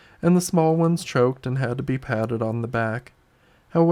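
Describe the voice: A passage in plain reading aloud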